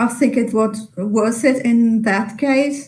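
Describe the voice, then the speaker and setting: Somewhat breathy and very slow, a woman talks in a dark, mellow tone with fairly even intonation. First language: Italian. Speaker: literary translator. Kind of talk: webinar Q&A. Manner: halting.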